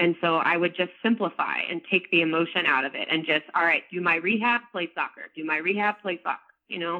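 Speaking in an ordinary speaking voice, a woman with a fairly low pitch moves at a fairly quick pace with hardly any pauses and ordinary pitch variation. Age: 20s. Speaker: author and strength coach. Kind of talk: interview.

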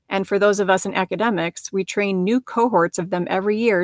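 Dry and close with no echo, the recording captures a woman in a normal speaking voice. She keeps a medium pitch, a moderate pace and fairly even intonation. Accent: American. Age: 50s. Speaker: podcast host, physician and life coach. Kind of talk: solo podcast monologue.

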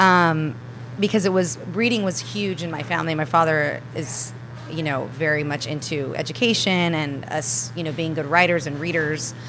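In an American accent, a woman speaks at a moderate pace with a very deep, low pitch and lively intonation. The recording carries noticeable background noise and audible room echo. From Spain and Southern California. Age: 30s. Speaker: plant-based chef. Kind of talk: casual interview. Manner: animated.

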